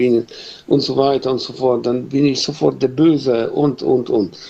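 With vocal fry at a medium pitch, a man speaks at a fairly slow pace. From Poland. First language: Polish (speaking German). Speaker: carpenter, listener caller. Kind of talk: casual chat. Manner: halting.

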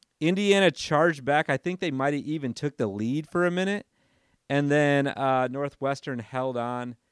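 A man has a plain, everyday voice with a fairly high pitch at a moderate pace. The recording is very clean with a silent background and a dry, close sound with no echo. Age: 30s. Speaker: sports podcast host. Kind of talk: casual solo podcast monologue. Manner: casual with frequent fillers.

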